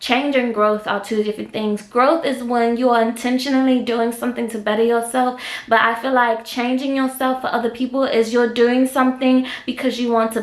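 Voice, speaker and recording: Noticeable background noise sits under the recording. A woman talks at a fairly quick pace in a fairly high, monotone, flat voice. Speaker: podcast host. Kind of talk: casual chat.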